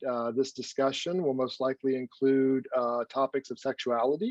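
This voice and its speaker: The man's medium-pitched voice moves along at a fairly quick pace. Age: 50s. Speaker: performing arts center director. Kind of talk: moderated panel discussion. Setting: recorded broadcast. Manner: halting, many fillers.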